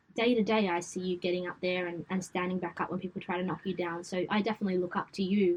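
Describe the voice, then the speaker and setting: At a very fast pace with hardly any pauses, a woman speaks in a western Sydney accent at a medium pitch, her intonation monotone and flat. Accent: western Sydney Australian. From Australia, western Sydney. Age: 20s. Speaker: events company founder. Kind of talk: podcast interview. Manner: casual.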